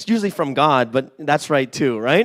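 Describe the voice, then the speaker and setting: A loud man with an animated tone. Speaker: pastor. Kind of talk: sermon.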